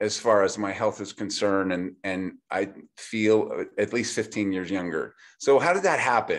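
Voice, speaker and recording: In a very clean recording with a silent background, a man with a normal speaking voice talks at a fairly slow pace, his fairly low pitch showing ordinary variation. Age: 60s. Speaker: chiropractor. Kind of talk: product explanation talk.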